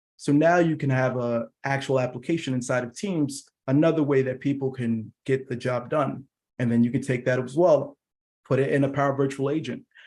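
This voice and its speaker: A man with a plain, everyday voice, medium in pitch, at a fairly quick pace and with fairly even intonation. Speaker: product engineer presenting a tech session. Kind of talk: technical presentation. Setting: virtual user group meeting.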